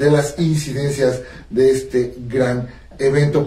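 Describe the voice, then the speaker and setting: Audible room echo around a male voice. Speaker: radio host. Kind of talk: radio show host talk. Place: studio.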